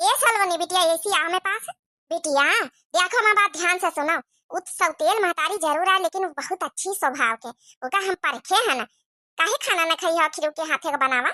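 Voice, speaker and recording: A woman puts on a cartoonish character voice at an extremely high pitch, with lively intonation and a moderate pace, in a dry, close sound with no echo. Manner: blunt, direct.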